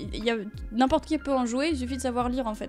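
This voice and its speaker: This woman talks fairly quickly with music in the background. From France. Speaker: singer. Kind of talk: interview answer. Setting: radio studio.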